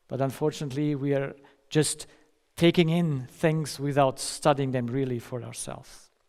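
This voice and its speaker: In a very clean recording with a silent background, a man speaks at a moderate pace. His pitch is fairly high and his intonation fairly even. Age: 50s. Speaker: doctor giving a lecture. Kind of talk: lecture. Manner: halting, with self-corrections.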